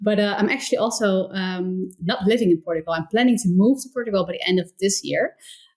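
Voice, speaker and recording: Over noticeable background noise, a woman with a slight Dutch accent speaks fairly quickly with ordinary pitch variation. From Netherlands, near Rotterdam. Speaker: entrepreneur, community founder. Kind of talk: interview conversation.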